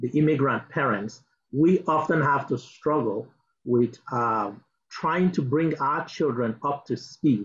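A man's somewhat breathy voice with ordinary pitch variation. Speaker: diaspora advocacy director; speaker. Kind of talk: speech. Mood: earnest, advocating. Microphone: video call.

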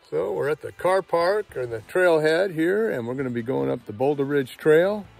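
A man's voice, dry with no echo, faint music in the background. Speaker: hiker vlogger. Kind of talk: casual vlog chat. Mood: cheerful, relaxed. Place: forest. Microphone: phone near.

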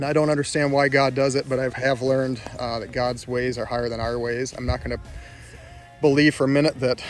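A man's flat, monotone delivery at a fairly quick pace, dry with no echo, faint music behind. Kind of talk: casual vlog chat, personal reflection. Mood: grieving, sincere, subdued. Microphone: phone near.

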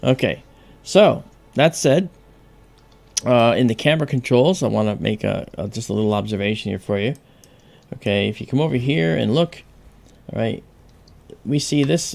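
Speaking at a moderate pace with lively intonation, a man leaves long, frequent pauses. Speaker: amateur astronomer host. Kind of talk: tutorial.

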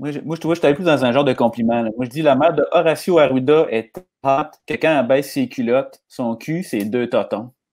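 A man with a Quebec accent speaks at a fairly quick pace, with a fairly high pitch and ordinary pitch variation. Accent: Québécois French. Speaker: comedian. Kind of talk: live comedy chat. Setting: video call live stream. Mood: joking, animated. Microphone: earbuds.

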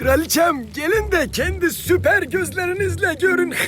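In a cartoonish character voice, a man speaks at an extremely high pitch and a moderate pace. Clear background noise is present. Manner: fawning.

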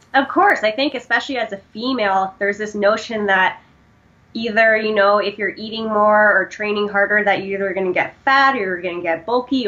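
A woman with a Canadian accent talks at a fairly quick pace with ordinary pitch variation. Noticeable background noise is present. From Canada. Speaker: powerlifting and running coach. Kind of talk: casual interview.

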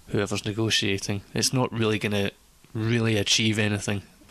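A man with a Scottish accent speaks at a moderate pace in a fairly low voice, his intonation flat and monotone. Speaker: podcast panelist. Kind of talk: casual chat.

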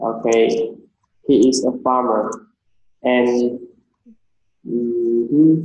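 A man with a Vietnamese accent talks at a very slow pace in monotone, flat intonation, with long, frequent pauses and audible room echo. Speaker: English teacher. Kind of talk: language lesson oral test. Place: home room. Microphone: webcam.

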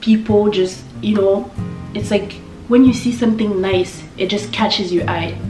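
Music plays behind a woman who speaks with a French accent. Her pitch is medium and her pace moderate. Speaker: lifestyle YouTuber. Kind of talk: casual talk to camera. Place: home room.

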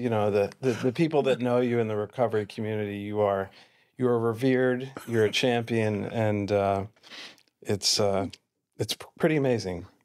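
At a moderate pace, a man speaks in a fairly low, slightly mellow voice with fairly even intonation.

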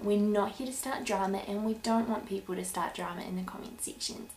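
Speaking at a moderate pace with a New Zealand accent, a woman is heard over light background noise and audible room echo. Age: 20s. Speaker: YouTuber, breastfeeding mother; YouTuber. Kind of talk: vlog introduction. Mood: warm, earnest. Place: home room. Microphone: webcam.

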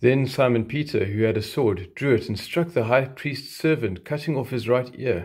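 A somewhat breathy male voice at a moderate pace, with ordinary pitch variation and a quiet background. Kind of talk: scripture reading. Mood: solemn, calm. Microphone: phone near.

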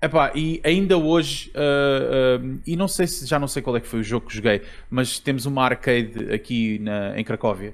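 A man speaks with ordinary pitch variation and a moderate pace. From Portugal, Almada. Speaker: video game podcast host. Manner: halting, hesitant with filler words.

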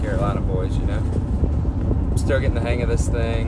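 Speech at a moderate pace under loud background noise. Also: man. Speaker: construction worker vlogger. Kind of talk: casual vlog chat. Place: car. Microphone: phone near.

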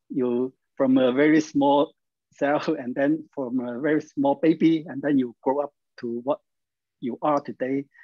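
A man with a Chinese accent, fairly high in pitch, at a fairly slow pace with fairly even intonation, in a dry sound with no echo against a quiet background. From China. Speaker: health practice coach. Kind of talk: instructional interview. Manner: halting. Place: home room. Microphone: video call.

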